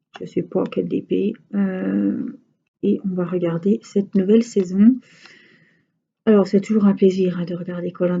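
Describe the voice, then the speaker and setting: A woman talks at a fairly slow pace and medium pitch, with fairly even intonation and long, frequent pauses. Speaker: crafts vlogger. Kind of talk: casual chat. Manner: hesitant, many fillers.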